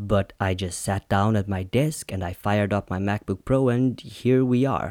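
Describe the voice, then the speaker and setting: On a very clean recording with a silent background, a man speaks in a fairly low voice with ordinary pitch variation, the sound dry and close with no echo. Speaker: solo podcast host. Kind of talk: reflective monologue. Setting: at home, indoors. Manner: deliberate, measured pace.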